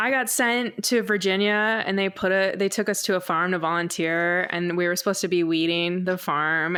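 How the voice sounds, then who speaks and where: In a Midwestern accent, the voice has a bright, sharp tone, ordinary pitch variation and very even loudness, keeping a moderate pace with hardly any pauses. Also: woman. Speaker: podcast co-host. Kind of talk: casual chat.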